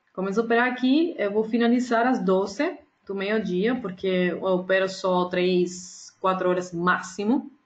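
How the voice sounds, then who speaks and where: A woman's somewhat breathy, medium-pitched voice in a Spanish accent, at a fairly slow pace with hardly any pauses and ordinary pitch variation. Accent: Spanish-accented Portuguese (portunhol). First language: Spanish (speaking Portuguese). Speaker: day trader and trading educator. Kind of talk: casual announcement to viewers. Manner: halting, with fillers and self-corrections.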